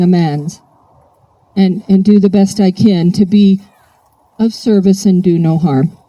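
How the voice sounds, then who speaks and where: A dark, mellow tone from a woman, somewhat breathy. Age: 60s. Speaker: AA speaker. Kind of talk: recovery talk. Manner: animated.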